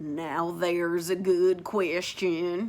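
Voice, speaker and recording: In a put-on character voice, a woman speaks gruffly at a fairly low pitch with monotone, flat intonation. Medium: read story. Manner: terse, gruff.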